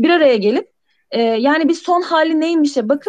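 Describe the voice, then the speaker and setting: With lively intonation, a woman talks at a moderate pace in a dry, close sound with no echo. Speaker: software team lead. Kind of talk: casual interview chat. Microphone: voice cutting out intermittently.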